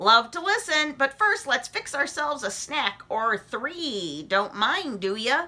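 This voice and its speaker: Using a put-on character voice, a woman speaks in a high pitch at a fairly slow pace, with very wide pitch swings and hardly any pauses. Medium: read story. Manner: clipped, chummy phrases.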